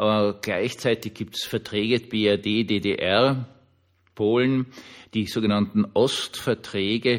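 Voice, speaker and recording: This man speaks at a very slow pace with monotone, flat intonation and a medium pitch. The recording is very clean, with a silent background. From Austria, Vienna. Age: 60s. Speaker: pastor and podcaster. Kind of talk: personal monologue podcast. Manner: informal, with filler hesitations.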